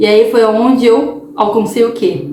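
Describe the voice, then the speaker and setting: With noticeable background noise and audible room echo around it, the speech crawls along at a very slow pace. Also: woman. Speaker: holistic therapist and tarot reader. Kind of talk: casual vlog monologue. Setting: home recording at night. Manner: talkative, tends to speak loudly; animated, repetitive fillers.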